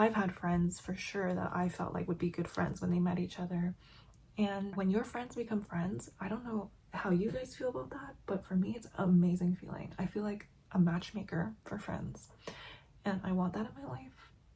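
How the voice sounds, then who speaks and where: Vocal fry runs through this woman's voice, and her intonation is lively. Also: medium pitch for a woman, moderate pace. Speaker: beauty and lifestyle vlogger. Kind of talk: casual chat while doing makeup and reading an article.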